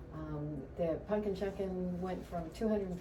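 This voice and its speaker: In an American accent, a woman speaks amid noticeable background noise and audible room echo. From Florida (Lakeland). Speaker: local political candidate, former chamber director. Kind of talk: radio interview.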